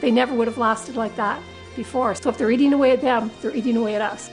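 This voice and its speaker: Music plays in the background as a woman talks at a fairly quick pace in a high pitch. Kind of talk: customer testimonial. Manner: casual, conversational.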